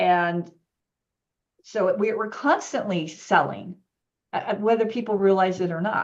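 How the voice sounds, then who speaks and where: At a fairly slow pace, a woman speaks at a medium pitch with ordinary pitch variation and long, frequent pauses. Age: 60s. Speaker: yoga business coach. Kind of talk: casual chat.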